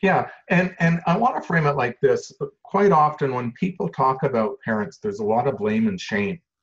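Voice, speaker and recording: At a moderate pace, a man with a fairly high, somewhat breathy voice speaks with very wide pitch swings. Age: 60s. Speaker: social worker. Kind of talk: interview. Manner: matter-of-fact.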